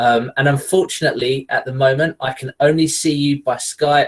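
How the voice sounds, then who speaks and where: This man speaks with an English accent. His voice is somewhat breathy. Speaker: geography lecturer and researcher. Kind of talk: webinar lecture. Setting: online video call. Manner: hesitant with fillers.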